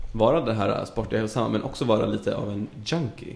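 The pace is moderate. The intonation is lively. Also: man. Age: 20s. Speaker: podcast guest. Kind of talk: casual chat.

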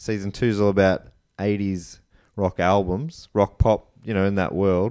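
A man's very deep, low, dark and mellow voice in an Australian accent, fairly slow with fairly even intonation, on a very clean recording with a silent background. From Australia, country Victoria. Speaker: comedian and podcaster. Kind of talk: casual chat.

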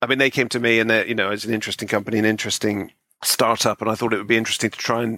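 On a very clean recording with a silent background, a man with a West Country accent speaks at medium pitch in a bright, sharp tone, the sound dry and close with no echo. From Bristol, West Country, England. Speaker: author and critic. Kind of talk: casual interview.

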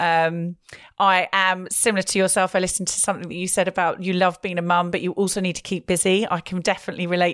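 A woman rattles along at a very fast pace, her pitch medium. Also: very clean recording, silent background. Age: 40s. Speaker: podcast host. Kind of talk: casual interview chat. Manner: animated.

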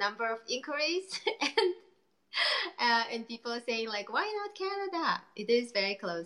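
A woman's bright, sharp voice, fairly high in pitch, with lively intonation at a moderate pace

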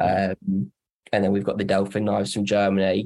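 Vocal fry runs through a man's dark, mellow tone. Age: 20s. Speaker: flooring supplier manager. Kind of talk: podcast interview. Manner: hesitant with filler words.

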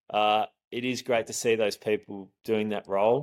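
In an Australian accent, the speaker comes through on a very clean recording with a silent background. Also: man. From Australia, Geelong (Victoria). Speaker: event staffing entrepreneur. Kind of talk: casual interview chat. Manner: laid-back.

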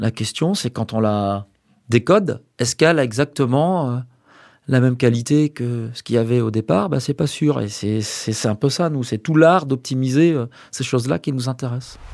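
A moderate pace with ordinary pitch variation, dry and close with no echo, on a very clean recording against a silent background. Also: man, medium pitch for a man. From Brittany, France (Brest). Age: 50s. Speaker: professor and video compression researcher. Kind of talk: interview. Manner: halting, many fillers and repetitions.

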